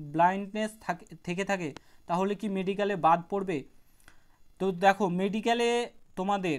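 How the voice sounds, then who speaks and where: A man speaks in a high pitch with a monotone, flat intonation. The recording is very clean, with a silent background. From West Bengal, Birbhum. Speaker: YouTube exam-prep educator. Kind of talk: Q&A video answering viewer questions. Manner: casual, conversational.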